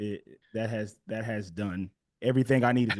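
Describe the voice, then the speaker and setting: At a moderate speed, a man talks in an American accent. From US West Coast, Los Angeles. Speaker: comedy writer and actor. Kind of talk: casual interview chat.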